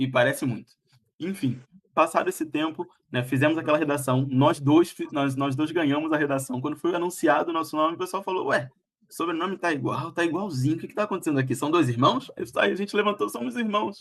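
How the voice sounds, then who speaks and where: Here a man talks at a very fast pace. His pitch is fairly high. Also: ordinary pitch variation. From Brazil, Rio de Janeiro (Rocinha). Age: 20s. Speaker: live stream guest telling life story. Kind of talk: interview on a live stream. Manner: halting, many fillers and restarts.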